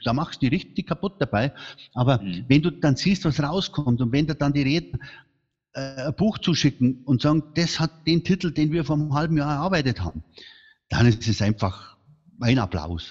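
This man's voice sits fairly high with vocal fry and lively intonation. He keeps a moderate pace over a quiet background. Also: dry, close sound with no echo. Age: 60s. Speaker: speaker agency founder. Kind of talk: interview. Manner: animated.

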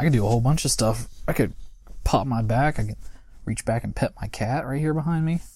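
A man with an American accent speaks at a medium pitch, with ordinary pitch variation and a dark, mellow tone. His voice is somewhat breathy, the pace very fast, broken by long, frequent pauses. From US, West Virginia. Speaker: podcast co-presenter. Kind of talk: casual chat.

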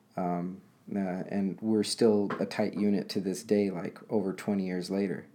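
On a very clean recording with a silent background, a man with a fairly low pitch and a dark, mellow tone talks at a fairly slow pace in monotone, flat intonation. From Los Angeles, US. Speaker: guest. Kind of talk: casual chat.

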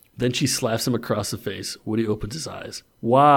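A natural voice reading text aloud

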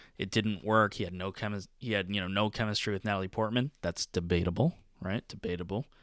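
A man talks very fast with hardly any pauses, at a fairly low pitch and with fairly even intonation. The recording is very clean with a silent background and a dry, close sound with no echo. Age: 20s. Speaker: podcast co-host and pre-law student. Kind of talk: casual chat.

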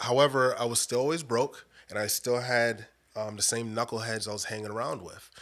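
A plain, everyday voice talks with an American accent at a fairly quick pace. The intonation stays fairly even. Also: man, medium pitch for a man. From US Northeast (Bridgeport, Connecticut), Caribbean parents. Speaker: recovery story guest, church leader. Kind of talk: testimony.

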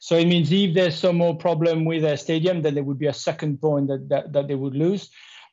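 With a French accent, a man speaks at a fairly quick pace with hardly any pauses, using a fairly high pitch and fairly even intonation. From France, Marseille. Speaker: football podcast co-host. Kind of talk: casual chat.

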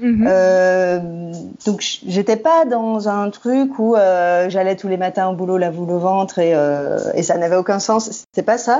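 A woman with a medium-pitched voice speaks very slowly. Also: ordinary pitch variation. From France, Rhône area north of Lyon. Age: 30s. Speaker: communications and advocacy professional. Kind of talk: podcast interview. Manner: hesitant, many fillers.

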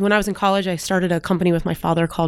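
Very fast is the pace of this woman with an American accent. Her pitch is fairly low. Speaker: startup executive and mentor. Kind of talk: interview.

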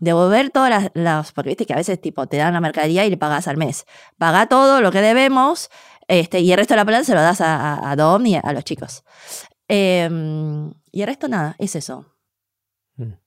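Heard in a very clean recording with a silent background, a woman speaks at a fairly quick pace with long, frequent pauses, her fairly low pitch swinging very widely. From Argentina (born in China, raised from small child). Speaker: cook and food communicator. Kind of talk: interview conversation.

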